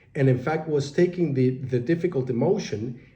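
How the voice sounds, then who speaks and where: Ordinary pitch variation from a man, with audible echo in the room. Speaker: meditation teacher and life coach. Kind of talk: spoken reflection on meditation. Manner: hesitant with many fillers.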